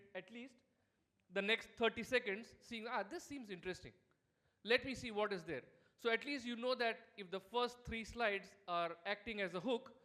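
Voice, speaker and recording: A man with a high voice speaks in a raised, projected way. His intonation stays fairly even. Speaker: startup founder and keynote speaker. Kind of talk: keynote presentation. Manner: fast.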